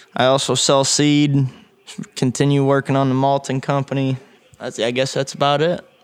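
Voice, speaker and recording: Over noticeable background noise, a man with a fairly high pitch speaks at a moderate pace in a flat monotone, his loudness very even. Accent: American. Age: 20s. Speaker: young farmer. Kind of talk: interview. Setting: on location at a winery.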